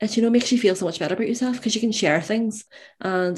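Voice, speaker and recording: Talking at a very fast pace, a woman with a Northern Irish accent uses ordinary pitch variation. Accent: Northern Irish (Belfast). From Northern Ireland, Belfast. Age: 20s. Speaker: university student. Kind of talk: interview, personal story.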